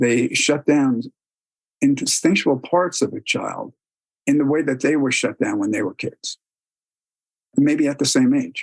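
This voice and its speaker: Recorded with a dry, close sound and no echo, a man talks at a fairly slow pace, leaving long, frequent pauses. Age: 60s. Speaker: spiritual teacher and youth therapist. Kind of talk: lecture.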